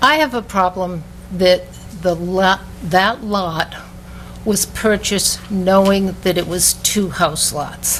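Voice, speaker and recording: A woman at a very slow pace amid noticeable background noise. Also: medium pitch for a woman, ordinary pitch variation. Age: 70s. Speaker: resident speaking at council meeting. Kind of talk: public comment. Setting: city council meeting.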